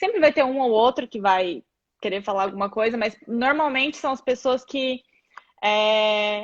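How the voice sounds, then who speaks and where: With a Brazilian accent, a woman speaks at a fairly high pitch with ordinary pitch variation. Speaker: physiotherapist. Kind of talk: live video chat.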